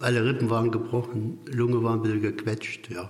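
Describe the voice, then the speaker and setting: A man talks at a medium pitch. Noticeable background noise and audible room echo are present. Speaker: master carpenter and business owner. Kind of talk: interview. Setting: factory hall.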